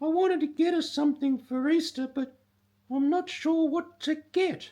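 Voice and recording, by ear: Putting on a character voice, a man speaks at a moderate pace and an extremely high pitch.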